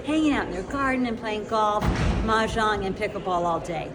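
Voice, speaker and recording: Speaking at a fairly quick pace in an animated tone, a woman uses ordinary pitch variation over audible room echo and noticeable background noise. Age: 60s. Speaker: podcast host. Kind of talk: interview. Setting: conference venue.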